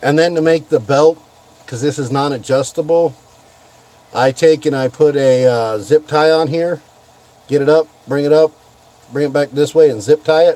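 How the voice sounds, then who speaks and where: At a moderate pace, a man talks with fairly even intonation and long, frequent pauses, the sound dry with no echo. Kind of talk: casual vlog chat, tutorial. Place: car. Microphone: phone near.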